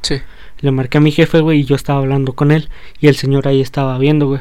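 A man speaks with a Mexican accent in a fairly high pitch. His tone is dark and mellow, and his intonation is monotone and flat. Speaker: rapper and co-host. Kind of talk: casual chat.

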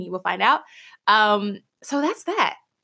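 A woman with an American accent speaks at a moderate pace in a fairly high, bright and sharp voice, her animated delivery full of lively intonation, on a very clean recording with a silent background. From Kansas City, Missouri (US Midwest). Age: 20s. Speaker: podcast host. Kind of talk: solo monologue podcast intro.

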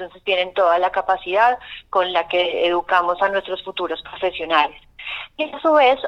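An ordinary speaking voice moves along at a moderate pace. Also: woman. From Colombia, not Antioquia. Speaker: arts course coordinator. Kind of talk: radio interview.

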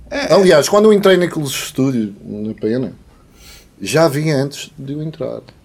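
With an unremarkable speaking voice, a man talks at a fairly slow pace in a fairly high pitch, using lively intonation. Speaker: musician. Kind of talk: casual chat. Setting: studio.

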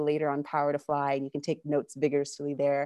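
A woman talks at a very fast pace in a Californian accent. Her tone is animated and upbeat. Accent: American, California. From California, US. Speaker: online event host. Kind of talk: live virtual chat hosting. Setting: video call with live audience. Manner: animated, upbeat.

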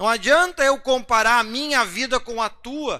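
A man's raised, projected voice at an extremely high pitch, bright and sharp in tone, with lively intonation, on a very clean recording against a silent background. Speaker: pastor. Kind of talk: bible study sermon. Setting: livestream broadcast. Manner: conversational, rhetorical asides.

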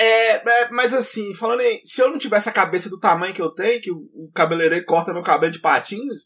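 A man's high-pitched voice with ordinary pitch variation, a fairly quick pace, hardly any pauses and big swings in loudness. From Bahia, Brazil. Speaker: podcast co-host. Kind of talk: casual chat.

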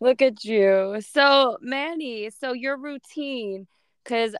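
A woman with an American accent and a plain, everyday voice speaks at a fairly slow pace with lively intonation. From New Jersey. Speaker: podcast host. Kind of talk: casual chat.

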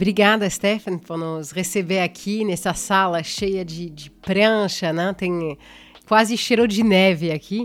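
A woman with a French accent talks at a fairly slow pace and a medium pitch. Her intonation is fairly even, but her loudness swings widely. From France. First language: French (speaking Portuguese). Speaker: podcast host. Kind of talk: interview.

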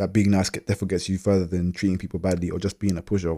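The voice has a dark, mellow tone. It carries a London accent. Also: man. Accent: London multicultural youth English. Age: 30s. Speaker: podcast host. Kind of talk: casual chat. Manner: relaxed, slangy.

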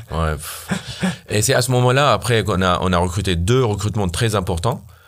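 Audible room echo surrounds a man who speaks at a moderate pace with ordinary pitch variation. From Syria. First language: Arabic (speaking French). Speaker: startup founder, software engineer. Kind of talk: casual interview. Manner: halting.

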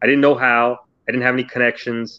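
With an American accent, a man speaks at a medium pitch and with fairly even intonation, in a dry, close sound with no echo. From New Jersey. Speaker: county official. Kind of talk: interview. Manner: halting, many fillers and repeats.

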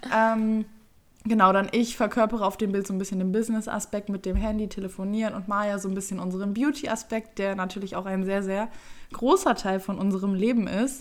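With an unremarkable speaking voice, a woman talks at a fairly quick pace, at medium pitch, with fairly even intonation. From Germany, Düsseldorf. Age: 20s. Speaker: YouTuber and podcast co-host. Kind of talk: casual chat.

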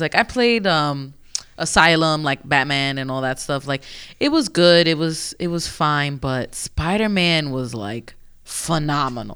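An animated tone and an American accent come through at a fairly slow pace on a very clean recording with a silent background. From New York. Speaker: video game podcast co-host. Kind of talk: casual chat.

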